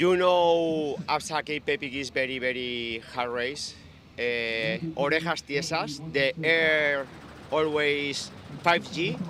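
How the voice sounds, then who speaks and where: Speaking with a Spanish accent, a man talks at a very slow pace. His fairly high voice shows ordinary pitch variation. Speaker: professional mountain bike racer. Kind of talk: post-race interview. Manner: halting.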